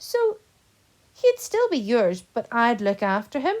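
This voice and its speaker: A woman uses a put-on character voice, high-pitched and delivered at a fairly slow pace. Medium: read story. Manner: eager, warm.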